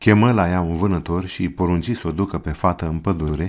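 On a very clean recording with a silent background, a man with a very deep, low voice speaks at a moderate pace with ordinary pitch variation. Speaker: audiobook narrator. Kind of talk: storytelling, scripted narration of a fairy tale.

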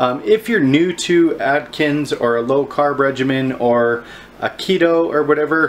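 The voice has ordinary pitch variation, with light background noise behind it. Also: man. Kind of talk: casual vlog chat. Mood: friendly advice-giving. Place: kitchen. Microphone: phone near.

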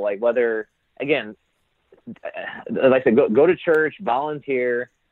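Speaking in a Midwestern American accent, a man uses a medium pitch with ordinary pitch variation. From Indiana, USA. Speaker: entrepreneur, social club founder. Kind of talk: interview answer.

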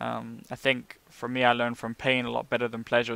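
With a British accent, a man speaks at a moderate pace in a dry recording with no echo. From UK. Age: 30s. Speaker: vlogger and online marketing entrepreneur. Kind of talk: casual to-camera monologue. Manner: hesitant, many fillers. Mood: calm, reflective. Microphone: headset.

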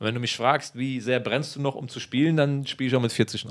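The background is quiet as a man talks at a fairly quick pace. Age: 30s. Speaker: footballer; interviewee. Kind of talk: interview. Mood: relaxed, reflective. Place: home room. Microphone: handheld.

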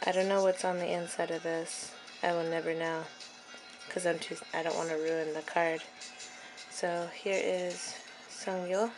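A woman's fairly low voice, monotone and flat, at a moderate pace with long, frequent pauses and clear music in the background. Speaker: fan unboxing albums. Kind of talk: casual unboxing talk to camera. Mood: excited fangirling. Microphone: phone near.

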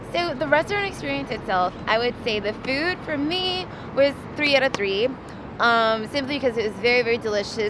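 Fairly quick talk with lively intonation, a dry sound with no echo and noticeable background noise. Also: woman. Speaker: vlog co-host. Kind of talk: casual restaurant review chat. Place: street. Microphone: phone near.

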